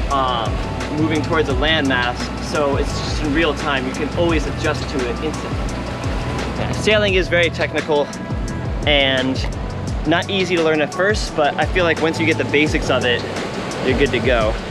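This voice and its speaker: A man with long, frequent pauses and clear music in the background. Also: ordinary pitch variation, moderate pace, dry sound with no echo. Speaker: sailing vlogger. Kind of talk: casual vlog chat. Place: boat. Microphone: camera far.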